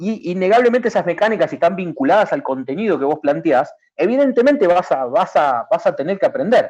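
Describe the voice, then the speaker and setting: A man talks at a fairly quick pace with hardly any pauses. His high voice swings very widely in pitch. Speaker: video game industry public official. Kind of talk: talk / presentation. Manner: fast; halting, many repetitions.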